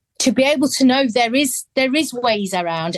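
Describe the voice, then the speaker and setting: A high-pitched woman with an English accent and very wide pitch swings, in dry, close sound with no echo and a quiet background. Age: 50s. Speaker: adult adoptee, charity founder. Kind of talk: interview testimony. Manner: halting.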